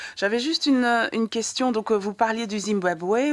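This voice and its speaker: Her pace is fairly quick. This woman's pitch shows ordinary variation. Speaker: radio film columnist. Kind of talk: radio interview. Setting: radio studio. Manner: hesitant.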